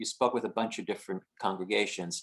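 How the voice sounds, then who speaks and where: With an American accent, a man talks at a very fast pace. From northern New Jersey (Haworth). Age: 60s. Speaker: audience member asking questions. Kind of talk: panel Q&A question.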